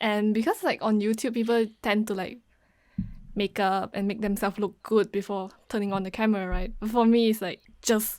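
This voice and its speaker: A woman's fairly high voice at a moderate pace, with monotone, flat intonation. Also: very clean recording, silent background. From Malaysia. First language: not English. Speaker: international student, YouTuber. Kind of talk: casual chat. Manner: halting.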